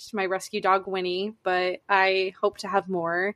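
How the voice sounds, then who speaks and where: In a normal speaking voice, a woman with an American accent talks at a fairly slow pace and medium pitch. The sound is dry and close, with no echo. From north central Massachusetts. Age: 20s. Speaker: podcast co-host. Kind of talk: casual chat. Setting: video call from a basement.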